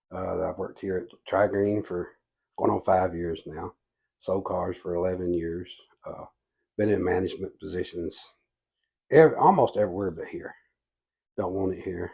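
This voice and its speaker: In a Southern US accent, a man speaks at a moderate pace with long, frequent pauses. His loudness swings widely. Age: 60s. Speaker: political candidate. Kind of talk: interview. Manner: halting.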